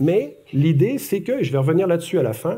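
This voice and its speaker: This man speaks in a Quebec accent. His tone is dark and mellow, and somewhat breathy. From Quebec, Montreal. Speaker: academic speaker. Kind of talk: public lecture. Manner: conversational, with many hesitations.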